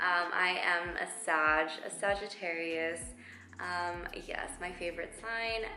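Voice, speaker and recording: In an American accent, a woman speaks with a fairly low pitch and ordinary pitch variation, with audible room echo and noticeable background noise. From Texas, McAllen (Rio Grande Valley). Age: 20s. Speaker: lifestyle vlogger. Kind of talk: casual Q&A vlog. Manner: chatty with many fillers.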